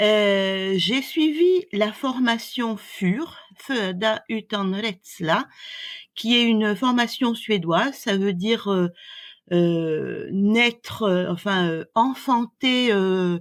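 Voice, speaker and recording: Speaking very slowly with long, frequent pauses, a woman at medium pitch uses lively intonation while keeping her loudness very even. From France. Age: 60s. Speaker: doula. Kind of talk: interview. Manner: hesitant, many fillers.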